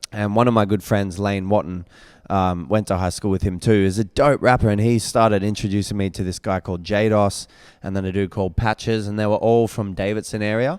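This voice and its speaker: A fairly quick voice with an Australian accent and fairly even intonation on a very clean recording with a silent background. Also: man, fairly low pitch for a man. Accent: Australian, formerly somewhat American. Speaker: rapper and singer. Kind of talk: casual podcast interview. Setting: podcast streamed live.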